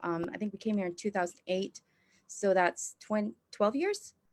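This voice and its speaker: A woman's medium-pitched voice with an American accent and ordinary pitch variation. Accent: American-leaning. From Indonesia. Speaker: church planting trainer. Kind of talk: interview. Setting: video call.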